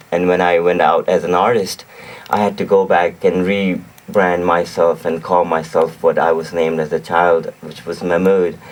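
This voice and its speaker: A man with a Pakistani accent talks at a moderate pace in a very deep, low pitch. His intonation is monotone and flat, and there is noticeable background noise. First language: Urdu. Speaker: singer-songwriter and music producer. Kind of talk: radio interview. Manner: repetitive, self-correcting.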